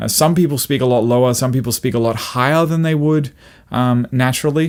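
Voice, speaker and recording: A man in a normal speaking voice, medium in pitch, fairly quick, with fairly even intonation. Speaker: singer and vocal coach. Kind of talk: tutorial.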